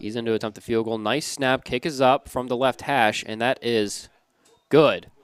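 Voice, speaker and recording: This man has a normal speaking voice at a medium pitch with fairly even intonation. The sound is dry and close with no echo. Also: moderate pace. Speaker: play-by-play sports announcer. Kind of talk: live commentary. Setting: broadcast booth.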